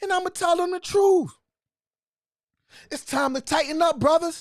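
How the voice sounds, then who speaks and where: Loud shouting from a man at an extremely high pitch, animated in tone, with ordinary pitch variation at a moderate pace. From US Northeast, Philadelphia. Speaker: livestream host. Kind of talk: livestream talk to viewers. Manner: yelling, loud; repetitive, animated.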